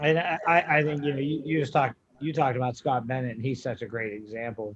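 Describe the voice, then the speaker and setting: A man speaks very fast with an American accent. His pitch is medium, with ordinary variation. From western Pennsylvania. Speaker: college strength coach. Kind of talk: casual podcast chat.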